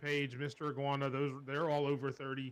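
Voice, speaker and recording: Talking very fast, a man uses a fairly high pitch. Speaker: wrestling podcast co-host. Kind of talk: casual chat.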